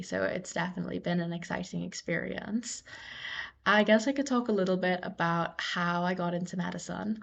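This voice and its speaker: Over a quiet background, a woman with a fairly low pitch and a somewhat breathy voice speaks at a fairly quick pace with fairly even intonation. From Trinidad. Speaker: medical student. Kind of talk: casual personal story.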